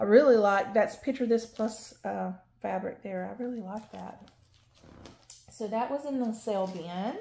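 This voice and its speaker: A woman with a Southern US accent has a dark, mellow tone and ordinary pitch variation. Her loudness swings widely. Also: fairly high pitch for a woman, moderate pace. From North Carolina, US South. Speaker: cross-stitch YouTuber. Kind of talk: casual show-and-tell haul video. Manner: rambling with fillers.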